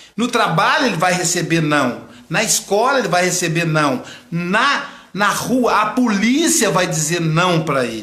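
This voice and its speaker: Amid noticeable background noise and audible room echo, a man speaks at a fairly slow pace with a high pitch, very wide pitch swings and very even loudness. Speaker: psychoanalyst. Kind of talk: live stream lecture. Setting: online live broadcast.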